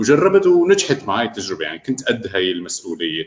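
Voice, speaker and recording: Vocal fry runs through this moderately paced voice as its pitch swings very widely. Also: man. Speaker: remote work expert and freelancer. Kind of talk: interview. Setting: live online broadcast.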